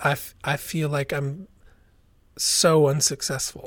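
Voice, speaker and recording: In a very clean recording with a silent background, a man with an American accent talks very slowly in a flat monotone, his voice somewhat breathy. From US West, southern Oregon. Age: 40s. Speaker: singer-songwriter. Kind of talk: personal testimony in interview.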